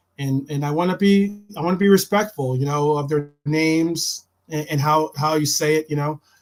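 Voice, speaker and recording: A man at a fairly high pitch and moderate pace, fairly even intonation and hardly any pauses, with music in the background. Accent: American. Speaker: football podcast host. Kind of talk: live-stream casual chat. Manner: halting, many repeated words.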